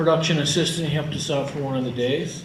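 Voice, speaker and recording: Amid audible room echo and noticeable background noise, a man with an American accent speaks with fairly even intonation. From northern Illinois, US Midwest. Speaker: filmmaker. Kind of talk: presentation about his film.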